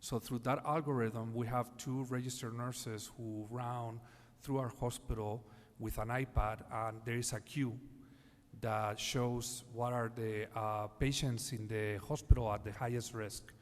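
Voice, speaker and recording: At a fairly slow pace, a man with a Spanish accent speaks at a medium pitch in a monotone, flat intonation. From Spain, Madrid. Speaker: healthcare executive panelist. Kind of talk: panel discussion. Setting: conference stage. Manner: halting, many fillers.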